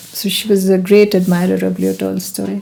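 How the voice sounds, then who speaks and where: A woman speaks over noticeable background noise. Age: 70s. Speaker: spiritual elder. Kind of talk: casual chat.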